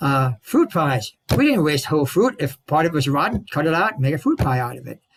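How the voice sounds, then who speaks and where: Somewhat breathy, a man speaks at a moderate pace in a dry, close sound with no echo. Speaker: presenter on local heritage. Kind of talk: talk at a club meeting. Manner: animated.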